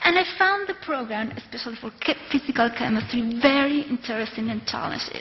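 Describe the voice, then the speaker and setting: A woman's high-pitched, fairly quick delivery with lively intonation, big swings in loudness and hardly any pauses, against noticeable background noise. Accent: Argentine. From Argentina, Córdoba. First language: Spanish. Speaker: doctoral student. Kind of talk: prepared speech.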